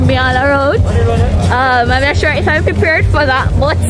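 A woman speaks at a fairly slow pace over loud background music. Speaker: travel vlogger. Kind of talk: casual vlog chat. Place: street. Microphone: phone near.

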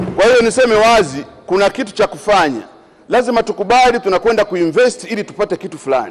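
A man rattles along at a very fast pace. His pitch is high, with ordinary variation. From Lake Zone, Tanzania; Tanzania. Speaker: member of parliament. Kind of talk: parliamentary speech. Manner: halting. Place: hall. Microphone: podium.

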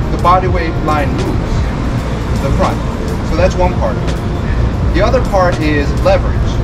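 Background music beneath a man's voice. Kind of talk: tutorial. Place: street. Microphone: camera far.

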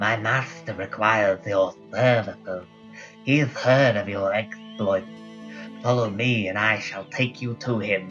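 A man speaks in a put-on character voice at medium pitch and a fairly slow pace, with some hissing. Clear music plays in the background. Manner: hissing, sinister.

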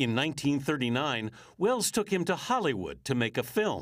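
In a very clean recording with a silent background, a man with a fairly high pitch speaks at a moderate pace, his voice making very wide pitch swings. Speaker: TV news correspondent. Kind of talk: TV news feature narration.

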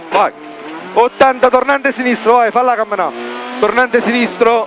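Noticeable background noise sits behind a man with an extremely high voice. He talks at a moderate pace with fairly even intonation. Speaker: rally co-driver. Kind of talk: rally pace notes read in the car. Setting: inside a rally car.

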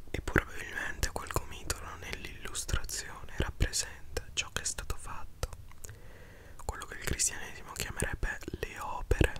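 Over light background noise, a man whispers in an intense tone, the sound dry with no echo. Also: moderate pace. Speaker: book reader, commentator. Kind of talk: soft reading and commentary, ASMR-like. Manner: intense close-mic whisper. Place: home room. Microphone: studio mic.

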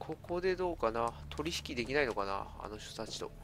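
A man speaks at a moderate pace. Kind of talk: casual gameplay commentary.

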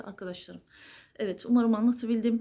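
A somewhat breathy woman's voice, fairly high in pitch, with a dark, mellow tone and fairly even intonation. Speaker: astrology video creator. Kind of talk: solo monologue to camera. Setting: at home late at night.

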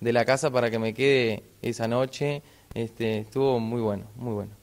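Monotone, flat male voice at a moderate pace. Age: 30s. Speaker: inline skater, adventurer. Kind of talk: TV interview. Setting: on location in a sports shop. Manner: halting, many fillers. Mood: friendly, relaxed. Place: shop. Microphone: handheld.

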